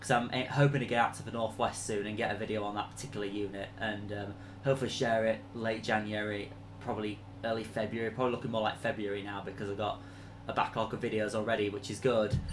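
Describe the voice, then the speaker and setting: Talking at a very fast pace in a monotone, flat intonation, a man with a Leeds accent and fairly low pitch is heard with audible room echo. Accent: Yorkshire (Leeds) English. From northern England, Leeds. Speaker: train enthusiast YouTuber. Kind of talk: live stream Q&A chat. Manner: hesitant, many fillers.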